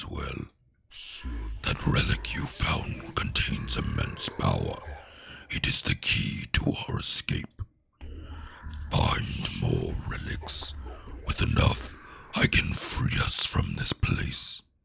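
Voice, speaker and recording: A raspy, put-on character voice speaks at a very slow pace. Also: man, very deep, low pitch for a man. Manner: foreboding, dramatic.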